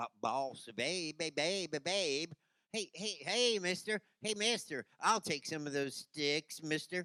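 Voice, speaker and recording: Pitched in the middle, a put-on character voice unfolds at a fairly slow pace. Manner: stuttering.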